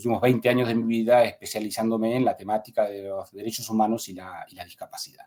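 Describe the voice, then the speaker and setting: Here a man talks at medium pitch. His intonation stays fairly even. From Argentina, Buenos Aires province. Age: 40s. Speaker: human rights lawyer and academic. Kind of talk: podcast interview. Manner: halting, many fillers.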